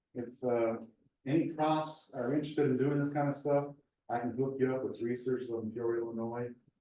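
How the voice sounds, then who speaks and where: Recorded with audible room echo, a man talks fairly quickly at a medium pitch, his dark, mellow tone flat and monotone. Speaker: research scientist, seminar speaker. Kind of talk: lecture; Q&A answer. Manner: fast.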